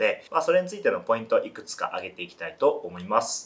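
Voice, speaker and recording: He talks very quickly. The voice belongs to a man. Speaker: fitness trainer. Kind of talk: tutorial. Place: studio.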